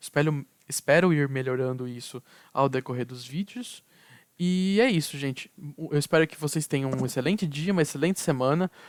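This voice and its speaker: A man talks at a fairly quick pace with a fairly high pitch and ordinary pitch variation. The sound is dry and close, with no echo. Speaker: university student. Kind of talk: tutorial. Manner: repetitive fillers, halting restarts.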